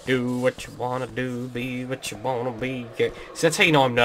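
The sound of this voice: The voice heard is an unforced reading voice.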